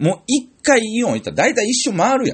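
Vocal fry from a man with a Tokushima accent. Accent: Awa (Tokushima) dialect, Kansai-like. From Tokushima, Japan. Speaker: comedian. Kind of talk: solo radio-style talk. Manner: casual, chatty.

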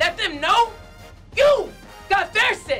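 Over faint background music, a woman projects a raised voice with lively intonation. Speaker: Marine Corps drill instructor. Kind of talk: motivational address to camera. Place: studio.

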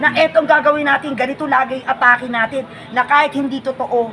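Crowd noise fills the background. A woman talks at a fairly quick pace with ordinary pitch variation. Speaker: political vlogger. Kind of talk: casual political commentary. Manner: animated.

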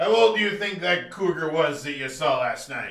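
A put-on character voice from a man, high in pitch, at a moderate pace with slight echo. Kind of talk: scripted comedy dialogue. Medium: comedy sketch. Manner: gruff, scolding. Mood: suspicious questioning.

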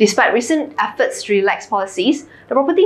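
A woman's voice at a fairly quick pace. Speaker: finance news presenter. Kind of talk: newsreading: scripted financial bulletin, polished and businesslike. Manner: steady, even, formal; brisk, crisp delivery. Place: studio.

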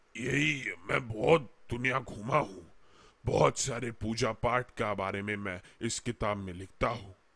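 This man uses a put-on character voice that is raspy and medium in pitch. He speaks at a fairly slow pace. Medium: read story. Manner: chatty, warm, rambling.

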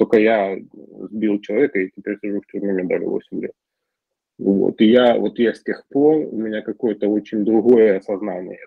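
An unremarkable speaking voice from a man, fairly low in pitch, at a moderate pace with fairly even intonation and big swings in loudness. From Ukraine. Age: 40s. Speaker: recovering alcoholic speaker at support group. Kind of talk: personal testimony.

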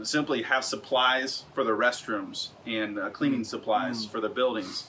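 A man talks at a moderate pace with light background noise. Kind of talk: interview answer. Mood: relaxed and friendly. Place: home room. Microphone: camera far.

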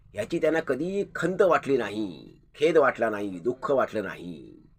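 A man speaks with very wide pitch swings. His voice carries vocal fry. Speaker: channel host, grandson paying tribute. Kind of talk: commemorative monologue.

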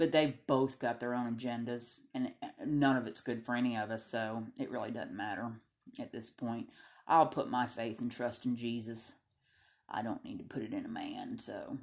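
A woman talks at a moderate pace in a Southern US accent. The recording is very clean, with a silent background. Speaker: Bible reading video host. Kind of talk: reading aloud; casual chat. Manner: halting.

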